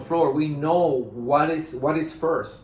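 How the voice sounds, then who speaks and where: Speaking at a fairly slow pace, the man has a fairly high pitch. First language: Spanish. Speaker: management consultant. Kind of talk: business presentation. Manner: halting, many fillers.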